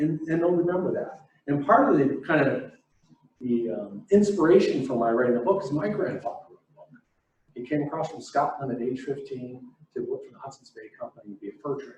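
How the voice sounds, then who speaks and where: An ordinary speaking voice from a man, fairly high in pitch, fairly quick, with lively intonation and big swings in loudness. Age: 60s. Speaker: business coach and author. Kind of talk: keynote talk to an audience.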